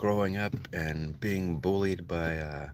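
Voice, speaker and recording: With lively intonation, a man speaks at a very deep, low pitch, and audible room echo fills the recording. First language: Spanish. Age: 40s. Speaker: livestreamer telling life story. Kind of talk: personal monologue storytelling. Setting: livestream. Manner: casual, halting with repetitions.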